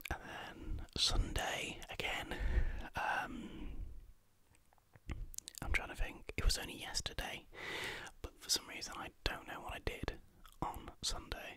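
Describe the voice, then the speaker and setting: A soft-spoken man whispering at a fairly slow pace, with long, frequent pauses and big swings in loudness, in a dry sound with no echo. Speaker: vlogger. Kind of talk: casual vlog chat. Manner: soft close-mic whisper. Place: home room. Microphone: studio mic.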